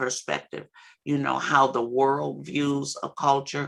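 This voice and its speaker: Very deep and low for a woman, her voice carries vocal fry and a bright, sharp tone. Her intonation is monotone and flat. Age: 60s. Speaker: substance abuse counselor and trainer. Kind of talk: training lecture. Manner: halting, many fillers.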